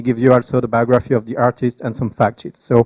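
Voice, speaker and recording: With a French accent, a man talks at a fairly quick pace in a medium pitch and a dark, mellow tone, the sound dry and close with no echo. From France. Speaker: startup founder. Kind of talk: tech presentation. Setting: meetup with live audience. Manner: hesitant, with fillers.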